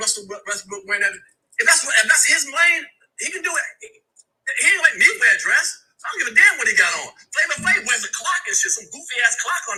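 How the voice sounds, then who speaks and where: A man shouting at an extremely high pitch in a raised, projected voice, very fast yet with long, frequent pauses, big swings in loudness and very wide pitch swings. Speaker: comedy commentator. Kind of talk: casual rant. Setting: in a car. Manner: loud, yelling.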